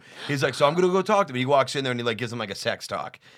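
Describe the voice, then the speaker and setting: On a very clean recording with a silent background, a man speaks in an animated tone with lively intonation. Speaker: comedian. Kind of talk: casual chat.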